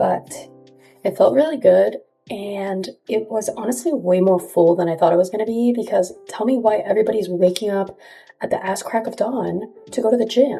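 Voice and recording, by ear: A woman puts on a character voice, whispering and raspy. She keeps a moderate pace.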